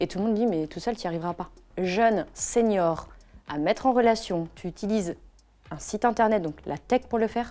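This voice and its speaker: Her medium-pitched voice has a dark, mellow tone, ordinary pitch variation and a moderate pace. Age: 40s. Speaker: entrepreneur. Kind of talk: interview.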